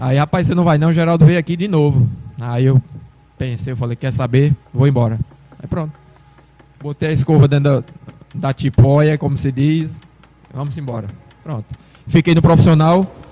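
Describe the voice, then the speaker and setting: A man's fairly high voice at a moderate pace, with ordinary pitch variation, long, frequent pauses, noticeable background noise and a dry, close sound with no echo. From Brazil, Sergipe interior. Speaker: retired footballer. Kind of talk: casual interview.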